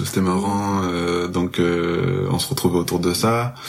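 A man's very deep, low voice with fairly even intonation, audible room echo and noticeable background noise. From France, Marseille. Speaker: music festival worker. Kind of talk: casual interview chat.

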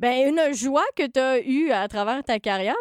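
In a dry, close recording with no echo, a woman speaks with a Quebec accent and ordinary pitch variation. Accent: Québécois French. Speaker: podcast host and writer. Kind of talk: casual chat.

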